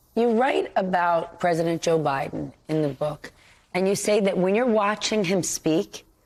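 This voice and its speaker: A woman with a fairly low pitch speaks at a fairly slow pace in an unremarkable speaking voice, her loudness very even. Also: ordinary pitch variation. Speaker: TV news anchor. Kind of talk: TV interview questions.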